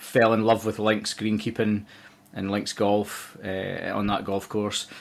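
Fairly low in pitch, a man talks at a fairly slow pace. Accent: Scottish. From Scotland, Dumfries (southwest). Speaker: golf course manager. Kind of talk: podcast interview.

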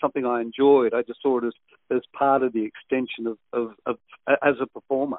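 At a fairly quick pace, a man with an Australian accent speaks at a medium pitch. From western Sydney, Australia. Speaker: veteran radio presenter. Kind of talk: interview.

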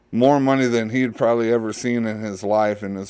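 Reading aloud in a natural voice, the speaker keeps the intonation fairly even.

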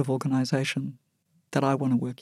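Speaking with an Australian accent, a woman is heard in a very clean recording with a silent background. The sound is dry and close, without echo. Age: 60s. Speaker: housing charity executive and board chair. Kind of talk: interview. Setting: studio.

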